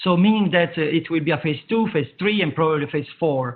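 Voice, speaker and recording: A man with a fairly high pitch speaks in an Italian accent. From Italy. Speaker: public health expert. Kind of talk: Q&A at web conference. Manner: hesitant, many fillers.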